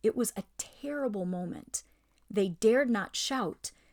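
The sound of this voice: Reading in an unforced voice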